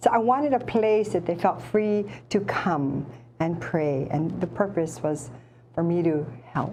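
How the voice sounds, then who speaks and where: A woman with a Hawaiian accent, fairly low in pitch, with lively intonation at a fairly slow pace. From Hawaii, Oahu. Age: 60s. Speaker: retired hula teacher. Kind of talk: casual interview. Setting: studio.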